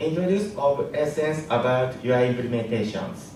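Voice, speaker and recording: Amid noticeable background noise and audible room echo, a man with a Japanese accent speaks at a fairly slow pace and fairly high pitch. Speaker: app engineer. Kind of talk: conference talk. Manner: halting.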